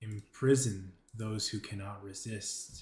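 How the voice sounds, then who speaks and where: A man puts on a character voice, pitched fairly low. His delivery is monotone and flat, at a fairly slow pace. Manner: menacing, commanding.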